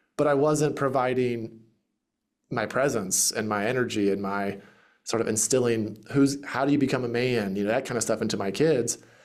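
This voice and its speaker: Speaking at a moderate pace with a Southern US accent, a man keeps a medium pitch and fairly even intonation. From US South, Greenville, South Carolina. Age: 30s. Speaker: real estate investor and podcast host. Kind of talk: interview conversation.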